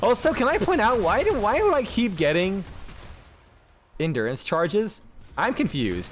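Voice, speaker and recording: In an American accent, a man speaks at a fairly quick pace with a high pitch. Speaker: video game streamer. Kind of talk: live gameplay commentary. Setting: live stream. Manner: halting, repeats words; casual, swearing.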